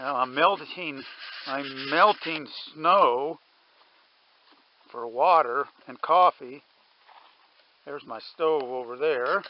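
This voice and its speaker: Very slow and broken by long, frequent pauses, a man's fairly high voice shows ordinary pitch variation and big swings in loudness. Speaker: outdoor vlogger. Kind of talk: solo vlog narration. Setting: outdoors, camping in mountains.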